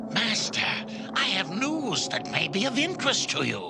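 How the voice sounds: A man uses a cartoonish character voice at an extremely high pitch. Loud background noise sits behind him. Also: moderate pace.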